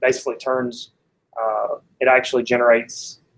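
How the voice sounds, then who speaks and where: A man with a medium-pitched voice and an Alabama accent, at a moderate pace. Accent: Alabama Southern US. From US South, Athens, Alabama. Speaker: software developer, tech meetup speaker. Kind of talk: technical talk.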